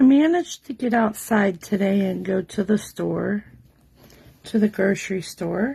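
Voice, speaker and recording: Quiet, somewhat breathy woman's voice, medium-pitched with a dark, mellow tone, ordinary pitch variation and a fairly slow pace. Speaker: card-making demonstrator. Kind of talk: live craft tutorial. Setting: home craft table, livestream. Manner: quiet, subdued.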